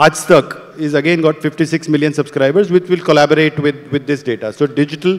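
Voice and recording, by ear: A man's fairly high voice at a fairly quick pace, with ordinary pitch variation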